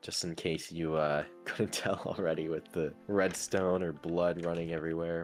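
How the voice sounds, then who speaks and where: Over music in the background, the speaker talks at a moderate pace with monotone, flat intonation. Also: man, very deep, low pitch for a man. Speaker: gamer. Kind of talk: casual game world tour narration. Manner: relaxed.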